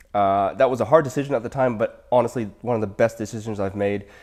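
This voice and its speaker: This man talks at a very fast pace with a Canadian accent. His voice sits at a medium pitch, and his intonation stays fairly even. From Canada. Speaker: dentist and practice owner. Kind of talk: interview.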